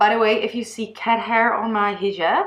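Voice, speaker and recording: A woman's fairly high voice with a Dutch accent, at a moderate pace. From Netherlands. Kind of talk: personal testimony vlog. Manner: halting, with fillers and false starts.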